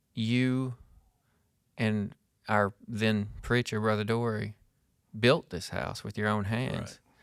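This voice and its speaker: A man's fairly low voice with an Arkansas accent, very slow pace, fairly even intonation, and long, frequent pauses. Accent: US Southern (Arkansas). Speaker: podcast host. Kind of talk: casual chat. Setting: workshop.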